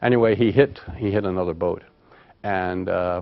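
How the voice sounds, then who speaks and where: This man speaks with a very deep, low pitch. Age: 60s. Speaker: retired public health advisor. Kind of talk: oral history interview. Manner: halting, many repetitions and fillers.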